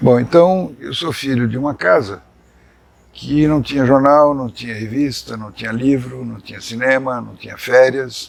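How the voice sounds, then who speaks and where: At a fairly slow pace, a man with an ordinary speaking voice and medium pitch shows ordinary pitch variation and big swings in loudness. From Brazil, São Paulo. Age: 60s. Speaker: journalist. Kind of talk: life story interview.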